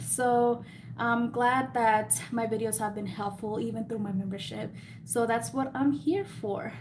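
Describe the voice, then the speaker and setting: Room echo can be heard around this voice. It belongs to a woman with a fairly high pitch. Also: ordinary pitch variation, fairly slow pace. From US, Mexican-American family. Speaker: lash and beauty YouTuber. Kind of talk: live stream Q&A. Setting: live stream. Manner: casual, rambling chat with fillers.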